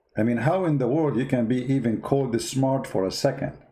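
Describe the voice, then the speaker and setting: A man's dark, mellow tone at a medium pitch, fairly quick, in an Arabic accent with ordinary pitch variation. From Middle East. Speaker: online political and religious commentator. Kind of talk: live-stream commentary. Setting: live stream. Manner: sarcastic.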